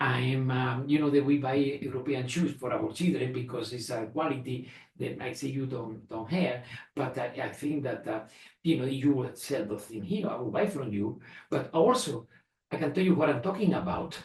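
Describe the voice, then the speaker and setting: Speaking with a Spanish accent at a moderate pace, a man with a medium pitch and a somewhat breathy voice uses ordinary pitch variation while audible room echo surrounds him. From Spain. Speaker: retired engineer and entrepreneur. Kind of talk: family interview. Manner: halting, many repetitions.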